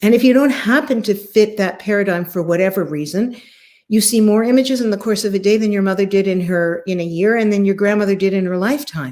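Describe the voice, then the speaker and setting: Speaking at a very fast pace, a woman uses a medium pitch, ordinary pitch variation and an animated tone. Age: 60s. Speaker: former TV host and spiritual speaker. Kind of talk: interview chat.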